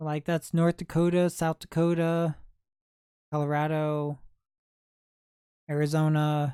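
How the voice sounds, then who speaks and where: The speaker has a Midwestern accent. Long pauses come often. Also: fairly slow pace. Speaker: livestreamer, thrift video creator. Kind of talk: casual livestream chat.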